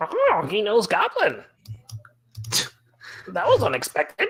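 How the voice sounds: The voice is a put-on character voice, delivered at a fairly slow pace.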